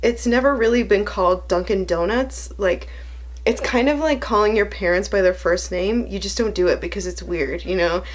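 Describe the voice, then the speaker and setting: Moderate-paced speech with an American accent against noticeable background noise. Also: woman. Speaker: vlogger. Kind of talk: casual chat. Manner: quieter than usual; usually energetic and loud.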